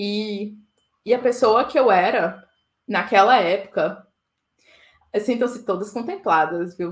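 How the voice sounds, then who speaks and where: Ordinary pitch variation in a woman's medium-pitched voice. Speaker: conference keynote speaker. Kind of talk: conference talk.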